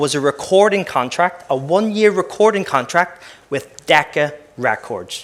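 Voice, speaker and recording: A man with an Irish accent and lively intonation. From Northern Ireland, West Belfast. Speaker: former professional footballer and keynote speaker. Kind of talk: keynote talk. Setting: conference stage with audience. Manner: fast-paced.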